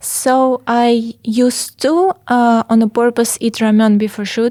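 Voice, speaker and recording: A woman with a Russian accent speaks in a fairly high voice with fairly even intonation. The sound is dry and close, with no echo. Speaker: fashion model. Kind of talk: casual chat. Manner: halting.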